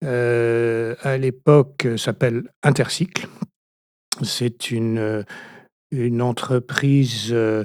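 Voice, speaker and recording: With long, frequent pauses and fairly even intonation, a man speaks at a very slow pace in a dry, close sound with no echo. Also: medium pitch for a man. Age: 60s. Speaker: retired business owner. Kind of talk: interview. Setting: studio. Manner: halting.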